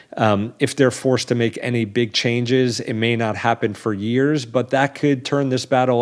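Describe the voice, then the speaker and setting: A man's plain, everyday voice at a medium pitch, moderate pace and fairly even intonation. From New York City, Staten Island. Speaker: business journalist. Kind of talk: interview.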